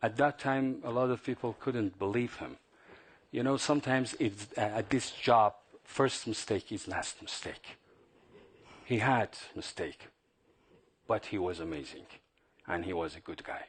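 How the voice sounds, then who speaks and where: Speaking in a Persian accent at a moderate pace, the voice shows ordinary pitch variation and long, frequent pauses. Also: man, medium pitch for a man. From Iran. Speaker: journalist and regime opponent. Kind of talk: panel Q&A after film screening. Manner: halting.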